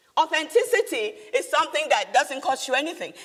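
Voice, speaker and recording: A woman with a Nigerian accent talks in an animated tone. Her high pitch moves in very wide swings. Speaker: business leader and speaker. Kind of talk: motivational talk. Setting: stage with audience.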